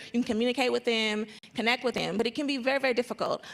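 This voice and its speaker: Speaking at a very fast pace, a woman keeps her intonation fairly even. Her pitch is high. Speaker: trade coordinator at a chamber of commerce. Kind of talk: panel discussion. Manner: halting.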